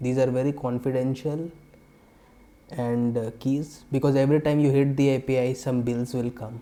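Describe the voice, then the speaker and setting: With a dark, mellow tone, a man speaks at medium pitch and moderate pace in a monotone, flat intonation. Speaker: software developer, tech tutorial creator. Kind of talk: tutorial. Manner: hesitant, many fillers.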